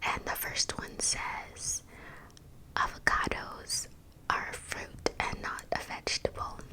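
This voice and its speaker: Very slow whispering amid noticeable background noise. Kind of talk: ASMR fact reading. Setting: home studio microphone. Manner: whispered.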